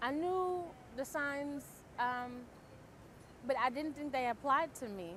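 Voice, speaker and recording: Noticeable background noise surrounds a woman speaking at a very slow pace. Her speech has long, frequent pauses. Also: lively intonation. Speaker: stroke survivor. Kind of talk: testimony. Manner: halting.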